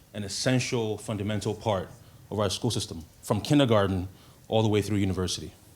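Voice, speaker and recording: Audible room echo surrounds a man who talks very fast at a fairly low pitch, with ordinary pitch variation. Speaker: guest speaker. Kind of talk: lecture.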